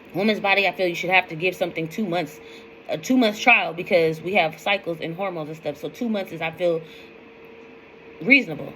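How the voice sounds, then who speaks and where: Against noticeable background noise, a woman with a fairly low pitch and ordinary pitch variation speaks at a fairly quick pace in an animated tone, with long, frequent pauses and big swings in loudness. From US West Coast, East Oakland, California. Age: 40s. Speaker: weight-loss vlogger. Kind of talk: casual vlog monologue, rant.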